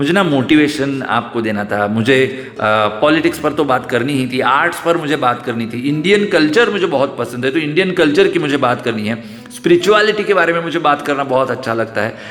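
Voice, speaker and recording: A man talks at a moderate pace with a Marathi accent and a fairly high pitch. His intonation is lively, he barely pauses, and background noise is noticeable. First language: Marathi (speaking Hindi). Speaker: YouTuber. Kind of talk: vlog monologue. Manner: hesitant, with fillers.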